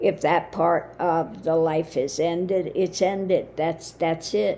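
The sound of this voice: Croaky and slow, a woman speaks at a fairly low pitch with fairly even intonation and a dark, mellow tone.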